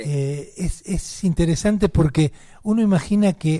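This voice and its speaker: With a Rioplatense accent, a man speaks in a dark, mellow, somewhat breathy tone and lively intonation. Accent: Argentine Rioplatense Spanish. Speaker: radio host. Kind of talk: radio interview. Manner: repetitive stammering false starts.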